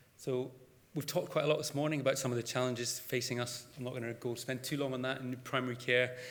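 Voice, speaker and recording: A man with a Scottish accent talks at a very fast pace with fairly even intonation, and room echo is audible. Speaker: GP and GP trainer. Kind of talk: conference presentation. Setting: stage with audience.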